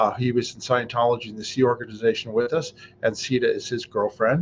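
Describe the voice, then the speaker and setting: At a moderate pace, a man talks in a medium-pitched voice. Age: 60s. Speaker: YouTube vlogger. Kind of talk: casual vlog monologue. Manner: hesitant, many fillers.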